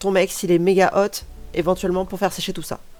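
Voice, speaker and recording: With music playing behind her, this woman talks at a medium pitch. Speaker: crafter, art school graduate. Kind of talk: craft tutorial voice-over. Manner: casual, chatty.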